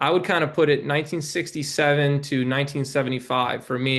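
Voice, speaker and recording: A man talks fairly quickly in an ordinary speaking voice, keeping fairly even intonation. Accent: American. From New York City. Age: 20s. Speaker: documentary filmmaker. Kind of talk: podcast interview.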